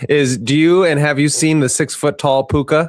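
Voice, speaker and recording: At a moderate pace, a man talks in a normal speaking voice. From United States. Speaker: podcast host. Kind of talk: casual interview chat.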